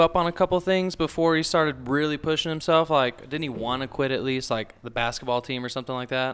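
This man has a Texan accent and a fairly high pitch, speaking at a fairly quick pace. His intonation is lively, and the recording is very clean with a silent background. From South Texas. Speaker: book club member. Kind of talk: casual chat.

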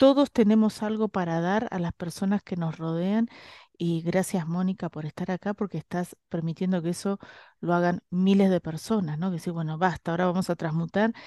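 A woman speaks at a fairly low pitch with a dark, mellow tone and fairly even intonation. The sound is dry and close with no echo, over a quiet background. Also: moderate pace. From Argentina, Bahía Blanca. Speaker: spiritual healer and radio host. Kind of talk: casual chat; guided meditation.

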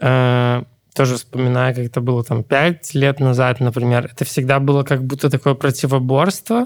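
Speaking in a medium pitch, a man holds a moderate pace and a monotone, flat intonation. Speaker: podcast co-host. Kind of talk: casual chat.

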